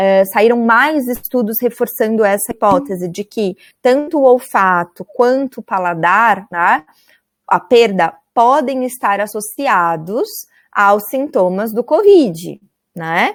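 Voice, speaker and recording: A woman's very slow, fairly high voice with lively intonation and a dry, close sound with no echo. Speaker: university lecturer. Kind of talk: online lecture.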